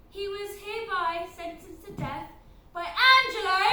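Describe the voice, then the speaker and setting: A woman puts on a squeaky character voice, extremely high-pitched. She talks at a moderate pace, with slight echo around her. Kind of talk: overblown courtroom proclamation. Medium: stage play. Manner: declamatory, loud.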